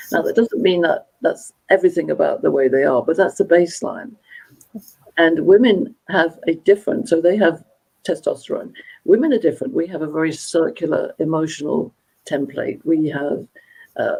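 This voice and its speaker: A woman with a London accent at a moderate pace. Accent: British English, London. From England, London. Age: 70s. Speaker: motivational speaker and gender dynamics expert. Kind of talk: live interview conversation.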